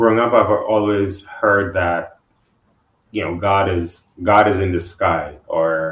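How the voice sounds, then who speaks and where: A man's somewhat breathy voice, fairly low in pitch, with fairly even intonation at a very slow pace. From Guyana. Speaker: financial advisor, podcast guest. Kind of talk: podcast interview. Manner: halting, repeats words; relaxed.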